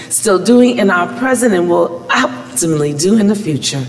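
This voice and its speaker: Her pitch rises and falls across a very wide range. The woman keeps a moderate pace. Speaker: pastor. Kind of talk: opening prayer and welcome. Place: church. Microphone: podium.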